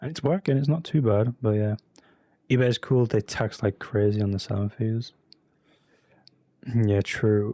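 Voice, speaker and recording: With a slight English accent, a man of medium pitch and a dark, mellow tone speaks at a moderate pace with ordinary pitch variation and long, frequent pauses, the sound dry and close with no echo on a very clean recording with a silent background. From UK. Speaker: streamer, reseller. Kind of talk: live stream chat with viewers. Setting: live stream with webcam. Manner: casual, filler-heavy.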